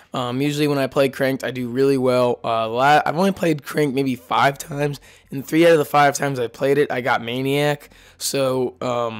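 A man speaks with fairly high pitch and ordinary pitch variation. His pace is fairly quick. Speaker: gaming commentator. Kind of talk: gameplay commentary intro.

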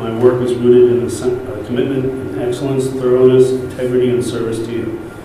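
Over light background noise, a man talks at a fairly quick pace in strong room echo. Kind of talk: reading a letter aloud at a meeting. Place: hall.

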